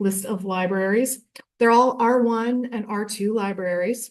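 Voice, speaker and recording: With a medium pitch and fairly even intonation, a woman speaks. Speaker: library consortium staff presenter. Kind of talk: conference presentation. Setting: conference room with audience. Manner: fast.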